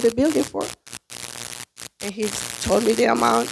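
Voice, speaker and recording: This voice belongs to a woman with a Spanish accent. She talks at a moderate speed. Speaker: small business owner, restaurant owner. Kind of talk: testimony.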